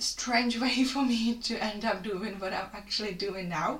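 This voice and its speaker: A woman with a Czech accent speaks at a moderate pace. Audible room echo and noticeable background noise accompany her. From Czech Republic. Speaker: fitness coach. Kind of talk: solo podcast monologue.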